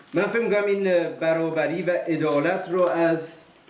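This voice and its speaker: A man's voice with audible room echo. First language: Farsi. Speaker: family speaker at a private event. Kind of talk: speech to guests. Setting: event with audience, streamed live. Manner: halting.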